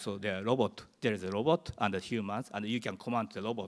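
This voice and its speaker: In a very clean recording with a silent background, a man with a Japanese accent talks at a moderate pace and a fairly low pitch. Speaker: professor. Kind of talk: conference presentation. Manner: halting.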